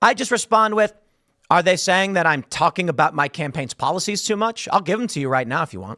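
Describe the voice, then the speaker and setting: A man's raised, projected voice, bright and sharp in tone and animated, at a fairly quick pace with very wide pitch swings, in a dry, close sound with no echo. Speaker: political commentary youtuber. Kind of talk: reaction commentary. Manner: fast.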